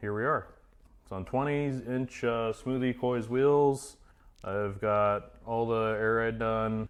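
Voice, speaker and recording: A man with an American accent and an unremarkable speaking voice talks at a moderate pace with fairly even intonation. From Idaho, US. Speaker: auto body painter and car builder. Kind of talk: casual chat. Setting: garage.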